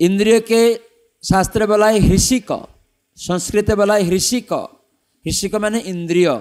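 A man's high-pitched voice with a non-native accent and fairly even intonation. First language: not Bengali (speaking Bengali). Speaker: monk and spiritual teacher. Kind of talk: religious discourse. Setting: temple stage with audience.

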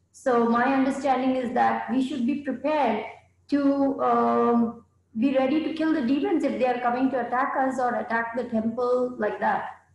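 Moderate pace, very even loudness and fairly even intonation, with audible room echo. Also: woman, high pitch for a woman. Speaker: participant in online class. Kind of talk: class discussion. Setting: video call. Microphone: video call.

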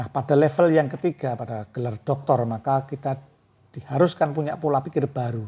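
The voice is somewhat breathy with a dark, mellow tone. It runs at a fairly quick pace with ordinary pitch variation. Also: man, fairly high pitch for a man. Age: 50s. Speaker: book reviewer and author; book reviewer. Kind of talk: book review monologue. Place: home room. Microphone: lapel.

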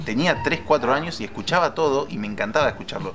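There is noticeable background noise as a man speaks with an Argentine accent. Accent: Rioplatense Argentine Spanish. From Argentina. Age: 20s. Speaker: photographer and film lab technician; interviewee. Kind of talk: interview storytelling. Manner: hesitant with many fillers. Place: garden.

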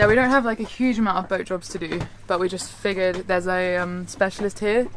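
A woman's fairly low-pitched voice, an ordinary speaking voice, at a fairly quick pace with ordinary pitch variation, dry with no echo, over light background noise. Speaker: sailing vlogger. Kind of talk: casual vlog chat. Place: boat. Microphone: phone near.

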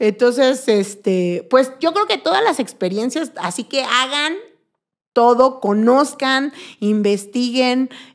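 Against a quiet background, a woman with a high pitch and lively intonation speaks at a very slow pace. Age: 40s. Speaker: make-up artist and body painter; podcast guest. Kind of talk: casual chat. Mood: warm, enthusiastic. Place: studio. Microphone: studio mic.

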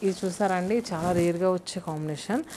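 A woman with a fairly low, dark and mellow voice speaks at a fast pace over faint background noise. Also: ordinary pitch variation.

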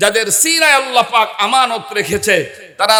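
Projected and raised, a man's extremely high-pitched voice sounds animated with ordinary pitch variation, noticeable background noise behind him. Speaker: Islamic preacher. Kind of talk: sermon.

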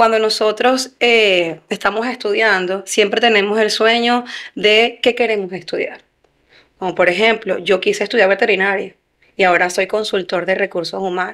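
In a normal speaking voice, a woman talks at a moderate pace with fairly even intonation over a quiet background. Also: fairly high pitch for a woman. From Venezuela. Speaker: human resources consultant; guest. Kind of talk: interview. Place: studio. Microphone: studio mic.

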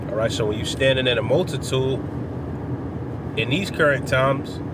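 A man talks at a moderate pace with ordinary pitch variation, the sound dry with no echo and loud noise in the background. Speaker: religious teacher. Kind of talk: informal sermon. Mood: earnest, relaxed. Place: car. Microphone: phone near.

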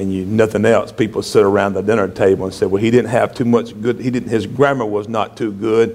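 A man with a Southern US accent talks at a fairly quick pace with hardly any pauses, his fairly low pitch held in monotone, flat intonation. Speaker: pastor. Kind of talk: sermon.

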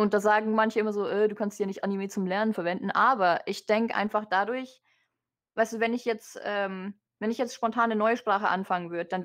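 A woman's normal speaking voice, fairly quick, with fairly even intonation over a quiet background. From Germany. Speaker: vtuber. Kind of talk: interview.

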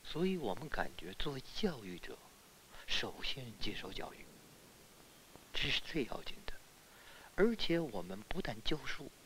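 Whispering, a man speaks at a fairly slow pace with long, frequent pauses. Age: 60s. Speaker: schoolteacher. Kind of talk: interview.

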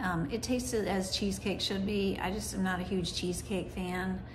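A woman speaks while music plays in the background. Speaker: food reviewer. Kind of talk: casual vlog chat. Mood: relaxed, evaluative. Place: home room. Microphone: phone near.

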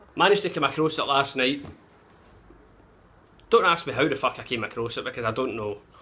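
A man with a Glaswegian accent speaks very fast at a fairly high pitch, his tone bright and sharp, his intonation lively, with long, frequent pauses. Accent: Glaswegian Scottish. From Glasgow, Scotland. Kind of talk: casual talk to camera. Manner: profane, blunt. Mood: cheeky, sweary, animated. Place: home room. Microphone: phone near.

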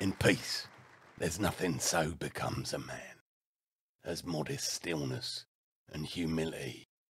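A man's raspy, put-on character voice at a very deep, low pitch, with a moderate pace and long, frequent pauses. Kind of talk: rousing Shakespearean oration. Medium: game stream. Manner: passionate, declamatory, building in intensity.

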